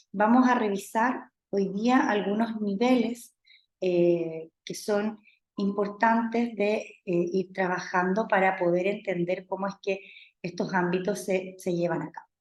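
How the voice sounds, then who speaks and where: Speaking very slowly, a woman uses a medium pitch and fairly even intonation. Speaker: university lecturer. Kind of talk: lecture. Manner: halting, many fillers. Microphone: speaking close to laptop mic.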